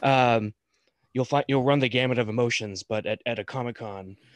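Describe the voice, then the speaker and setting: The sound is dry and close with no echo, over a quiet background. A man speaks at medium pitch with a General American accent. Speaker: podcast host. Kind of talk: casual chat. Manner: casual, filler-heavy.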